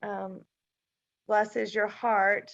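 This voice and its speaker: With an American accent, a woman speaks at a very slow pace. Her pitch is fairly high. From Mississippi, US South. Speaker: triathlete and swim event organizer. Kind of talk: casual chat.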